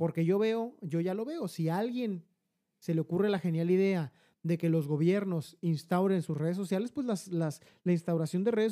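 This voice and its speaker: The voice carries a Mexican accent. It moves at a moderate pace. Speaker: podcast co-host, insurance agent. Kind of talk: casual chat.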